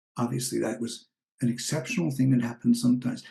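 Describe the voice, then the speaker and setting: The man's tone is dark and mellow. There's a somewhat breathy quality to it. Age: 70s. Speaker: spiritual teacher and author. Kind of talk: personal appeal. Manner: reflective, slightly halting.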